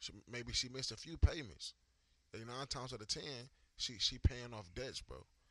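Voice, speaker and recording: With vocal fry and an animated tone, a man of medium pitch speaks at a moderate pace, showing ordinary pitch variation, big swings in loudness and long, frequent pauses. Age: 20s. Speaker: podcast co-host. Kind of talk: casual chat.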